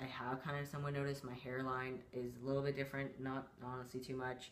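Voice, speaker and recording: With audible room echo and noticeable background noise, a man at medium pitch talks fairly quickly in a monotone, flat delivery. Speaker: vlogger. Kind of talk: casual chat.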